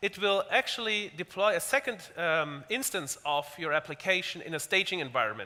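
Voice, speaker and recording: A man's high-pitched voice with a bright, sharp tone at a fairly quick pace. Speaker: tech company speaker. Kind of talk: technical demo talk. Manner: fast; halting, many repetitions.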